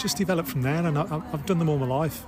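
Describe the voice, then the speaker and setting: Through noticeable background noise, a man speaks at a fairly high pitch with ordinary pitch variation. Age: 60s. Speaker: amateur ultra runner. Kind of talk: interview.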